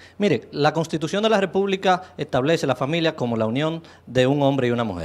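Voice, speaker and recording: Speaking at a fairly quick pace, a man uses lively intonation and a fairly high pitch. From Dominican Republic. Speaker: political candidate; candidate. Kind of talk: political debate. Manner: halting, repeats words. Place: studio. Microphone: handheld.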